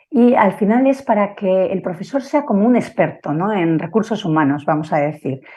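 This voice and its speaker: A woman with a Basque accent speaks at a moderate pace. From Basque Country, San Sebastián. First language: Basque (speaking Spanish). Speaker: family constellation therapist and teacher. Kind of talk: conference talk. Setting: live online broadcast. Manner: halting, with fillers.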